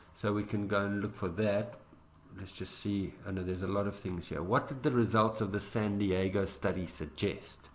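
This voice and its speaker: Audible room echo surrounds a man whose fairly low voice keeps a fairly even intonation. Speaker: IELTS teacher. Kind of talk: tutorial. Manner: fast; halting.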